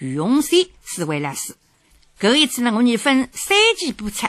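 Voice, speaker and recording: In a Shanghainese accent, a woman talks at a moderate pace with a high pitch and a bright, sharp tone. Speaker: radio host. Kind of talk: scripted narration.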